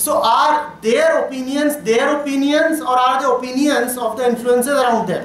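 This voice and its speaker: Pitched extremely high, a man talks with fairly even intonation, very even loudness and hardly any pauses. Audible room echo and light background noise come through. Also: moderate pace. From India. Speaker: spiritual teacher. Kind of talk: talk to students. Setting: college hall with audience.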